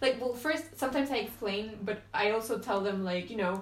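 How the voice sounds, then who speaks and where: Ordinary pitch variation with a Spanish accent. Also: woman. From Venezuela. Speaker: podcast guest. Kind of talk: casual chat.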